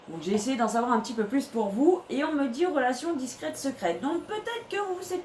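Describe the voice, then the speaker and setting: Against noticeable background noise, a woman talks in a high voice. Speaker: tarot reader. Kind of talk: tarot reading video monologue. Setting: bedroom. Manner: hesitant, many fillers.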